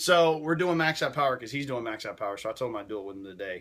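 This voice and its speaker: In a very clean recording with a silent background, a man with a Southern US accent talks at a very fast pace with lively intonation. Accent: Southern US twang. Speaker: fitness livestreamer. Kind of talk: casual livestream chat. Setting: livestream at home. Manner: animated.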